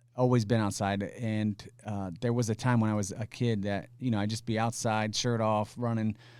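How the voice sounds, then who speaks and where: A man with a Midwestern US accent speaks at a moderate pace in a fairly low pitch, with monotone, flat intonation and hardly any pauses. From Indiana. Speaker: HR executive. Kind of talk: casual interview.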